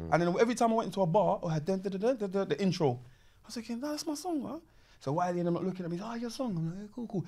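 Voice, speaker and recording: In a South London accent, a man talks very fast at a high pitch with very wide pitch swings and a dark, mellow tone. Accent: South London, Multicultural London English. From London, Peckham. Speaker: MC, grime pioneer; MC. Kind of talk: casual chat. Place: home room. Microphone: studio mic.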